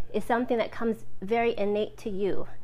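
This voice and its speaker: This woman has a fairly high pitch with ordinary pitch variation. Her pace is moderate. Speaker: style coach. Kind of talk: live stream talk. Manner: soft-spoken. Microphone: phone with external mic.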